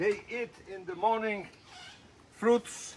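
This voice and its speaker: A man with a Spanish accent at a fairly slow pace. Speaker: animal rescue worker. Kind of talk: casual video tour. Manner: halting.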